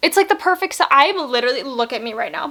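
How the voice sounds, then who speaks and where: With an American accent, a woman talks using lively intonation. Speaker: beauty vlogger. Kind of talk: casual unboxing vlog. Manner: animated.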